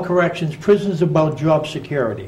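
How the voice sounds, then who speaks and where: The speaker is a man with audible echo from the room. He moves along fairly fast. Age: 60s. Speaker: prison reformer, former prisoner. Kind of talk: radio interview.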